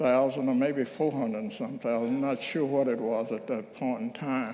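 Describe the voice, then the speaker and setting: Room echo is audible around a man's voice. His tone is dark and mellow, though his pitch sits fairly high. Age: 80s+. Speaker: minister. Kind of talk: reflective talk at a church service. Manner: conversational, with hesitations.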